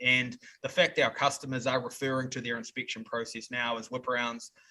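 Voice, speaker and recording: Bright and sharp in tone, this voice with a New Zealand accent moves at a fairly quick pace in a flat monotone. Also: man. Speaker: software company representative. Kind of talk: podcast interview answer.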